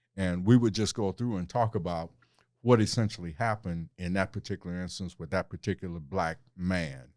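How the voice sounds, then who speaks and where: Very deep and low, a man's voice comes through with an American accent at a fairly quick pace and ordinary pitch variation, on a very clean recording with a silent background and a dry, close sound with no echo. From Cleveland, Ohio. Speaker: city councilman and former TV journalist. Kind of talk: interview conversation.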